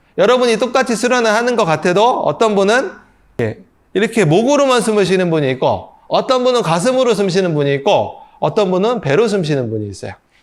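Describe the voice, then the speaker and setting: At a fairly quick pace, a man speaks with a high pitch and lively intonation. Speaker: breathing and meditation instructor. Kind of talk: lecture. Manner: fast.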